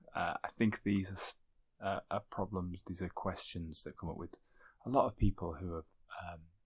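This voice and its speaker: A quiet man with a very deep, low pitch talks at a fairly quick pace with fairly even intonation, in a very clean recording with a silent background. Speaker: podcast host and archaeologist. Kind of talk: podcast intro. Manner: quiet, hushed.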